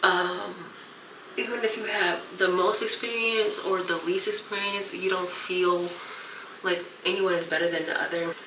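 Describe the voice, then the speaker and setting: Noticeable background noise and audible room echo surround a woman who speaks at a medium pitch and moderate pace with fairly even intonation. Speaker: YouTube vlogger and content creator. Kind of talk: casual vlog chat. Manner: soft-spoken.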